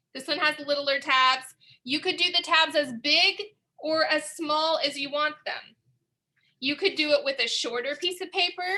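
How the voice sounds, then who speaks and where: Projecting a raised voice, a woman speaks at a high pitch with a bright, sharp tone, ordinary pitch variation and a moderate pace. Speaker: museum art educator. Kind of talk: tutorial.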